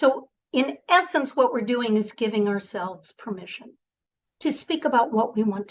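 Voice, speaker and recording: A woman speaks with lively intonation and a somewhat breathy sound. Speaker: voice and presentation coach. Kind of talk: online workshop.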